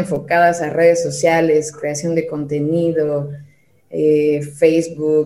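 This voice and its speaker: A woman speaks at a fairly slow pace, with audible echo in the room. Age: 30s. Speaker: digital marketing specialist. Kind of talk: casual interview chat.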